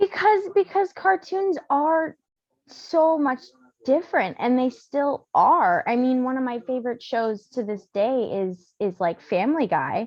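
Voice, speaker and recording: With an American accent, a woman speaks fairly slowly at a high pitch, her voice moving through very wide pitch swings. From USA. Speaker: podcast guest, horror fan. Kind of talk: casual chat.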